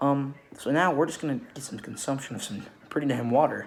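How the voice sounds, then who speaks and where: At a moderate pace, the voice is soft-spoken. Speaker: comedy YouTuber. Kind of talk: parody tutorial. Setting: home kitchen. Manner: hesitant, filler-heavy.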